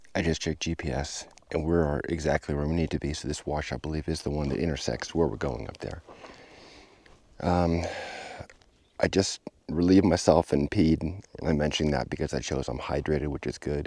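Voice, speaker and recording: A man speaks at a very deep, low pitch, with vocal fry and fairly even intonation. Long pauses come often. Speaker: hiking vlogger. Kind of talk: vlog narration. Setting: outdoors.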